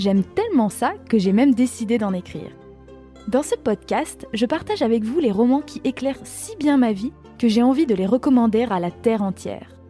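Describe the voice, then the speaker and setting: Over music in the background, a woman with a fairly high pitch speaks at a moderate pace with lively intonation. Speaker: podcast host and author. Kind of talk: podcast intro.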